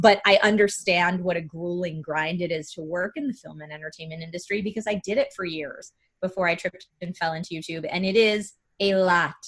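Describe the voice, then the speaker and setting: An enthusiastic, somewhat breathy woman's voice, fairly low in pitch and fairly quick, with big swings in loudness. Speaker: gaming video creator and streamer. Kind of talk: interview conversation. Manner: speeds up and rises in pitch when excited.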